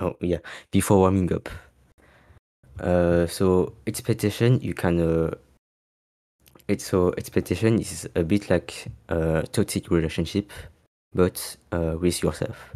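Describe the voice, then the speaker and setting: A man's very deep, low voice with a dark, mellow tone and long, frequent pauses, on a very clean recording with a silent background. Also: fairly even intonation, fairly slow pace. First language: not English. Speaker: osu! player giving a talk. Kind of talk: community talk event speech. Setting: live stream. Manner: halting, many fillers.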